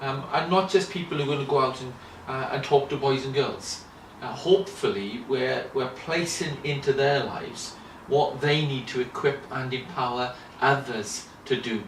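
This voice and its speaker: A man with a Welsh accent speaks at a moderate pace in a fairly high voice with ordinary pitch variation. Room echo and noticeable background noise are audible. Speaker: children's ministry lecturer. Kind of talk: interview. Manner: halting, many fillers and repetitions.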